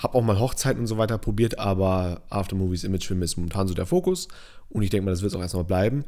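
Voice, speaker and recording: A man speaks at a very fast pace with a fairly low pitch. His tone is dark and mellow, his intonation fairly even. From northern Germany. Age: 20s. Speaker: podcast host, videographer. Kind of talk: casual chat. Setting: studio, recorded on camera.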